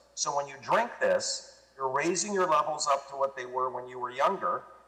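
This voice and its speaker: A man talks at a moderate pace. Behind him there is noticeable background noise. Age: 60s. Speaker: product promoter guest. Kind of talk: interview.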